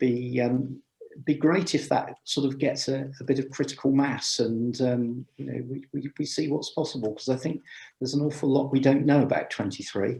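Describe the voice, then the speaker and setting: A man speaks at medium pitch with a dark, mellow, somewhat breathy tone. His intonation is monotone and flat, at a moderate pace. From England, Gloucestershire. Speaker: amateur radio speaker. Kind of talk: Q&A after a talk. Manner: hesitant, many fillers.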